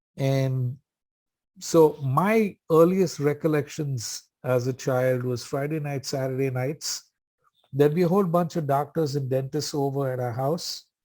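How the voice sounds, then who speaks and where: A man with a fairly high pitch and a dark, mellow tone speaks with ordinary pitch variation on a very clean recording with a silent background. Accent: Indian. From India, Bombay. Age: 60s. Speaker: AA speaker. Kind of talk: recovery talk at meeting. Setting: meeting. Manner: casual, humorous storytelling.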